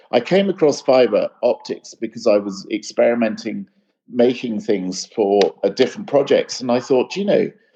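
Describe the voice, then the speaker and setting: Moderate pace and very even loudness throughout. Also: man. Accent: English. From UK. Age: 60s. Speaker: light artist. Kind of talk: interview conversation.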